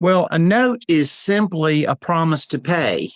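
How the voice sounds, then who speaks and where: In a very clean recording with a silent background, a man speaks fairly slowly in a plain, everyday voice with lively intonation. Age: 60s. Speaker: real estate note investor. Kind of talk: interview.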